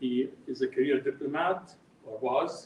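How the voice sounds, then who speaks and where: Noticeable background noise runs behind a man's speech. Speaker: event moderator. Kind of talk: event introduction. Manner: halting.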